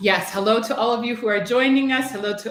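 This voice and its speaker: A woman speaks with a Chicago accent. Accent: Chicago American English. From US Midwest, Chicago. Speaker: English language teacher trainer. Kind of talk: educational webinar presentation. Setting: online live-streamed webinar. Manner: clear, teacher-like delivery.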